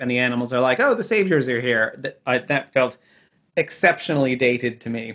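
Someone plainly reads aloud. Behind the voice, things stay quiet.

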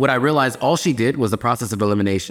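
Lively intonation from a man with an American accent. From US Northeast (New York and Pennsylvania). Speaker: advertising strategist. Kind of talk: interview.

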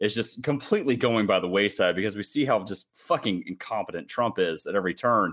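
On a very clean recording with a silent background, a man with an American accent uses a normal speaking voice at a fairly low pitch, with ordinary pitch variation and a moderate pace. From US South, Charlotte, North Carolina. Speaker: nursing assistant. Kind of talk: casual chat.

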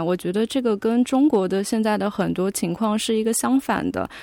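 A woman speaks in a plain, everyday voice at a moderate pace, with ordinary pitch variation. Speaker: podcast co-host, visual designer. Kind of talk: casual chat.

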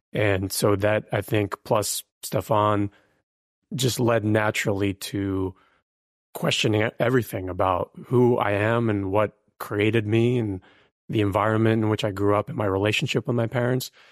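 This man has a plain, everyday voice with fairly low pitch and fairly even intonation. The sound is dry and close with no echo, on a very clean recording with a silent background. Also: moderate pace. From born in Ukraine, came to the US as a refugee. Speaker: podcast guest. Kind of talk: casual chat. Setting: in-person recording in Austin, Texas.

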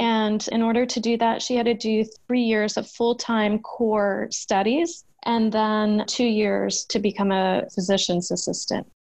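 An unremarkable speaking voice moves at a fairly slow pace with fairly even intonation and very even loudness. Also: woman, fairly high pitch for a woman. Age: 40s. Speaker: nonprofit founder and family law reform advocate. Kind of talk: interview.

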